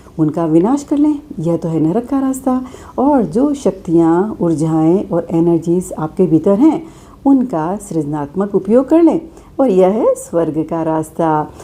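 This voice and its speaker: The voice has a calm, dark and mellow tone with very wide pitch swings. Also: woman. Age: old. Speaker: spiritual speaker. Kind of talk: spiritual talk.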